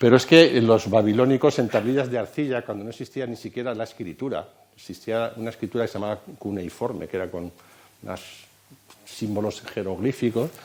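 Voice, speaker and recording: A man talks at a fairly quick pace and a medium pitch. His pitch variation is ordinary, while his loudness swings widely. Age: 60s. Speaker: computer science lecturer. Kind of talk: lecture.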